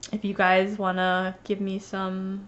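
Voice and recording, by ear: A woman speaks at a slow pace in a medium pitch, her intonation monotone and flat.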